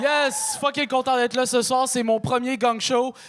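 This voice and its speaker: Amid noticeable background noise, a man speaks at a very slow pace in an extremely high pitch. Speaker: stand-up comedian. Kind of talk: stand-up. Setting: stage with audience. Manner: casual, filler-heavy.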